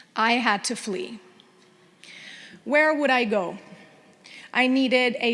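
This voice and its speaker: A woman with a Spanish accent talks at a fairly slow pace, her high-pitched voice bright and sharp in tone. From Venezuela. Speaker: TV news anchor. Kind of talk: award acceptance speech. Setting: luncheon audience in a room.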